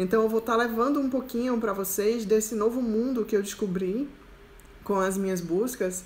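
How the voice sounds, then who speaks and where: With a Recife accent, a woman speaks at a moderate pace with fairly high pitch and fairly even intonation, and the room echo is audible. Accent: Recife accent, capital-city Pernambuco. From interior of Pernambuco, Brazil (Araripina). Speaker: self-knowledge coach. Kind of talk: live stream Q&A talk. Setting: live stream.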